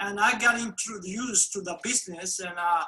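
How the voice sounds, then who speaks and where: A man uses a raised, projected voice at high pitch with ordinary pitch variation. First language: Spanish. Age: 60s. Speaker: formerly incarcerated immigrant telling his story. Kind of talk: testimony. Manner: halting, many hesitations.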